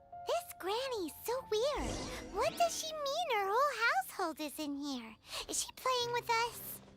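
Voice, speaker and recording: Over loud background noise, a put-on character voice speaks at a moderate pace with an extremely high pitch. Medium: video game. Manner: lively, expressive.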